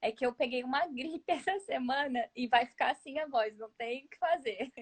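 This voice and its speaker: A woman is speaking in a high-pitched voice. Her pitch varies in an ordinary way. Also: moderate pace. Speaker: photographer. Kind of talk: interview.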